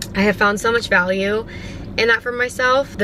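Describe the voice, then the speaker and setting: An animated tone over noticeable background noise. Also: woman. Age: 20s. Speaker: podcast host. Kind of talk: casual monologue. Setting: in a car.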